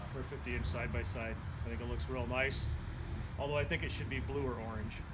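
A man at a very fast pace amid loud background noise. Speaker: guest. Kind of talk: interview answer. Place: street. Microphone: phone near.

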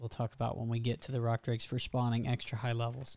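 A man speaks in a dry sound with no echo. The background is quiet. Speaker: gamer making a guide. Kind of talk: tutorial. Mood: relaxed, lightly joking. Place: home room. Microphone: studio mic.

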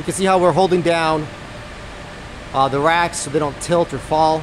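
Over clear background noise, a man talks at a fairly high pitch with fairly even intonation. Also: moderate pace.

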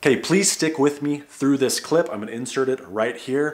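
A man's words come at a fairly quick pace. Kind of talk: educational vlog talk. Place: home room.

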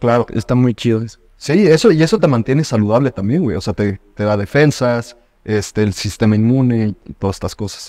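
A man speaks with a dark, mellow tone and lively intonation at a fairly quick pace. The sound is dry with no echo, over a quiet background. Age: 20s. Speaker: podcast host. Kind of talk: casual chat. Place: home room. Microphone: studio mic.

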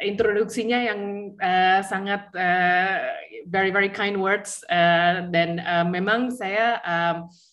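A woman talks at a very slow pace with medium pitch and fairly even intonation. The background is quiet. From Australia. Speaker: assistant professor, researcher; guest. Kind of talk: academic presentation. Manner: halting, many fillers. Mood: friendly, smiling. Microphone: video call.

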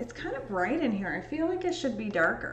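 A woman speaks with audible room echo. Faint music plays in the background. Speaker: photo restorer streamer. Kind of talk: casual live stream chat while editing. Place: home room.

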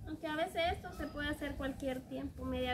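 Noticeable background noise fills the recording. The speaker is a woman. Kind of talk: casual cooking vlog chat. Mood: relaxed, laughing. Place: garden. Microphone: camera far.

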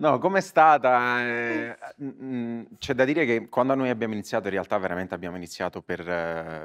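A man talks at a moderate pace with ordinary pitch variation. Behind him the background is quiet. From Italy. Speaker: comedian. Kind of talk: live podcast chat. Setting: stage with audience. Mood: relaxed, anecdotal, joking. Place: stage. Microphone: lapel.

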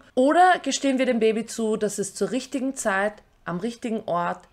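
A woman's fairly high voice with lively intonation, at a moderate pace over a quiet background. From Austria. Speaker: YouTuber; political commentary vlogger. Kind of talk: scripted commentary. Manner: formal. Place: home room.

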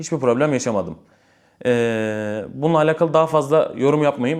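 A man with medium pitch and lively intonation talks at a middling speed in an ordinary speaking voice. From Istanbul, Turkey. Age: 20s. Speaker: imam and religious content creator. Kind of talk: casual Q&A vlog.

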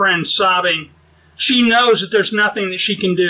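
This is an unforced reading voice. The pitch variation is ordinary.

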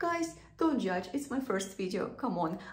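A woman talks at a fairly slow pace. Audible echo fills the room. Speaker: beauty vlogger. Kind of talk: casual vlog chat. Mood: nervous but cheerful. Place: bathroom. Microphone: phone near.

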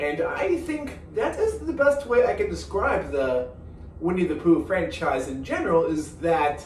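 A man's voice carries an audible room echo, with light background noise behind it. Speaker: animated film reviewer. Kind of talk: review commentary. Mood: cheerful, upbeat. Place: home room.

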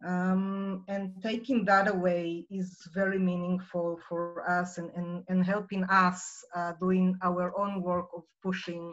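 A woman with a medium-pitched voice and an Israeli accent speaks very slowly in a flat monotone against a quiet background. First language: Hebrew. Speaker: nonprofit director; guest. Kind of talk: personal story in online presentation. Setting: video call. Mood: calm, earnest. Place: home room. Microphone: video call.

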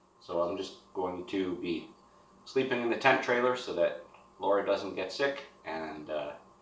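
Audible room echo surrounds a man speaking at a moderate pace and a fairly low pitch. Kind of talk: casual vlog chat. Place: garage. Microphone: camera far.

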